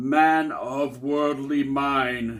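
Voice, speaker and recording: A man's put-on character voice, fairly high in pitch, with monotone, flat intonation. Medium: read story. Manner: slow, solemn.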